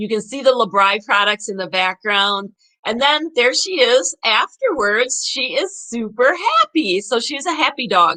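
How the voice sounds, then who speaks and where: A woman's fairly high, bright, sharp voice with an upbeat tone, very wide pitch swings and a fairly slow pace. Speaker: online seller hosting a live video. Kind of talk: casual live video presentation. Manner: chatty, upbeat, filler words.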